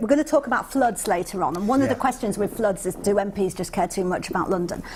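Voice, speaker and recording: A woman's voice swings very widely in pitch. It sounds somewhat breathy. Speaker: TV presenter / chat show host. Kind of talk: live news review chat show hosting. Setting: TV studio. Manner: warm, humorous, teasing, conversational.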